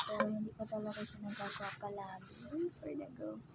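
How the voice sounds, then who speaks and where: A soft-spoken voice comes through over noticeable background noise. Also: woman. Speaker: food vlogger. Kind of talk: mukbang eating vlog. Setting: upstairs at home. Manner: casual with eating pauses. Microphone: voice may be too quiet.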